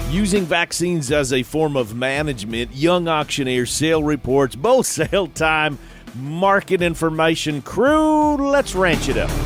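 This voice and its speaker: Over music in the background, the speaker talks at a fairly slow pace with lively intonation and hardly any pauses. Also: man, fairly high pitch for a man. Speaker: radio show host. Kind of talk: radio show host talk.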